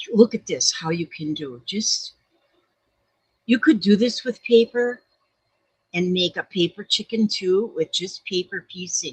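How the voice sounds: A woman speaks at a slow pace with long, frequent pauses, ordinary pitch variation, a husky, rough edge and a dry, close sound with no echo.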